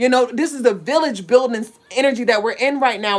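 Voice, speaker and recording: A woman with a high pitch speaks at a very fast pace in an animated tone. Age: 30s. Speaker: spiritual livestream host. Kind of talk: livestream monologue.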